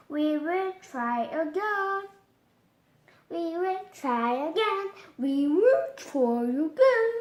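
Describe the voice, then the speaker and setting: Putting on a character voice at an extremely high pitch, a woman speaks at a very slow pace. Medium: read story. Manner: upbeat, energetic.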